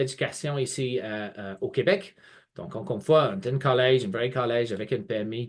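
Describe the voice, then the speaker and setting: The voice has a slight English accent and big swings in loudness. The background is quiet. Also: man. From England. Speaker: college representative. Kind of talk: webinar presentation. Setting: online video webinar. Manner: hesitant, many fillers and repetitions.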